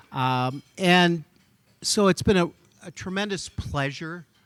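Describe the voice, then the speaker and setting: A man at a fairly slow pace, with ordinary pitch variation and a dry, close sound free of echo. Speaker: physician. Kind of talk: gala speech. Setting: stage with audience.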